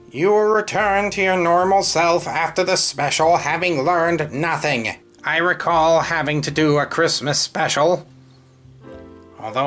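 A put-on character voice at middle pitch and moderate pace, with faint music in the background. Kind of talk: comic villain monologue. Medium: comedy sketch. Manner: grudging and bitter about niceness; pompous, sneering, theatrical.

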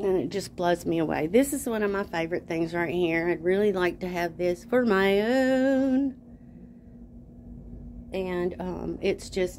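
Over light background noise, a woman talks at a fairly slow pace with lively intonation. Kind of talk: casual vlog chat. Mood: admiring, enthusiastic. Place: shop. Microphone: phone near.

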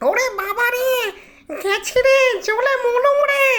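This put-on character voice is shrill and extremely high-pitched, with shouting. It moves at a fairly slow pace. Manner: shrieking, shouting in fear.

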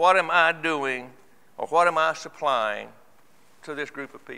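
Moderate pace with a bright, sharp tone. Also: man. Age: 70s. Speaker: church elder. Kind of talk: sermon. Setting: church. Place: church. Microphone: lapel.

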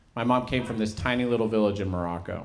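The speech moves at a very fast pace, with ordinary pitch variation. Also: man. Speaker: stand-up comedian. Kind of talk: stand-up comedy set with character impressions. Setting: stage with live audience. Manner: animated, profane storytelling with punchy act-outs. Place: stage. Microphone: handheld.

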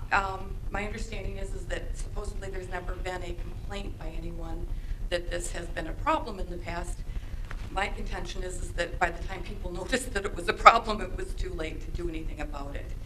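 A woman talks fairly quickly while noticeable background noise carries on. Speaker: parent giving public comment. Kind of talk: public comment address. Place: meeting room. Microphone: podium.

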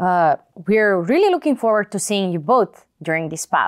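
With big pitch swings at a moderate pace, a woman speaks at a fairly low pitch in a dry, close sound with no echo, on a very clean recording with a silent background.

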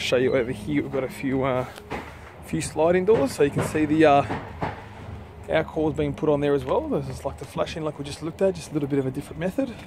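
Over background music, a man talks at a very fast pace in a dry sound with no echo. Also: ordinary pitch variation. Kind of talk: casual vlog chat. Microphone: phone near.

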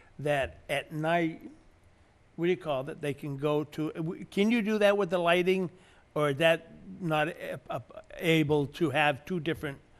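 With ordinary pitch variation, a man speaks at a moderate pace and a fairly high pitch.

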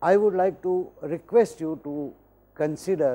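A man speaks at a fairly slow pace with an Indian accent. His tone is dark and mellow, and his intonation is lively. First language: Hindi. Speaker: professor. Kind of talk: lecture. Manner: formal. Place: studio. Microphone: lapel.

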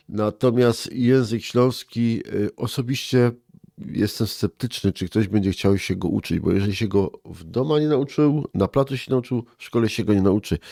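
At a moderate pace, a man talks with a dark, mellow tone. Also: medium pitch for a man, ordinary pitch variation. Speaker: head of a regional cultural association. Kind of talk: interview.

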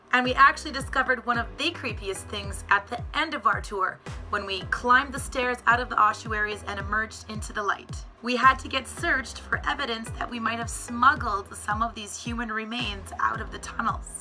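Over music in the background, a woman talks at a fairly quick pace, her loudness swinging widely. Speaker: travel vlogger. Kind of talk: travel vlog talk to camera.

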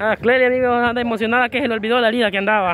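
Light background noise can be heard. The sound is dry, with no echo. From El Salvador. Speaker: vlogger. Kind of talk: casual vlog commentary. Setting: outdoors in a market. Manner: animated. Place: street. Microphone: phone near.

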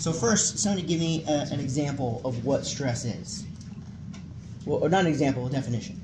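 A man with ordinary pitch variation keeps a moderate pace while noticeable background noise is heard. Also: fairly high pitch for a man. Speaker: military chaplain. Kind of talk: lecture. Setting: classroom with audience. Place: meeting room.

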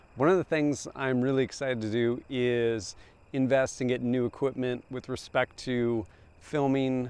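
With a dry sound and no echo, a man speaks at a moderate pace with fairly even intonation. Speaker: gear video creator. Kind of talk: casual vlog chat. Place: open country. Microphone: lapel.

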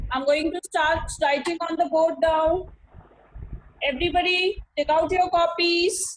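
A woman's extremely high-pitched voice in an Indian accent, with fairly even intonation. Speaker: school teacher. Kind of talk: online class lecture. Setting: video call. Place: home room. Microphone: video call.

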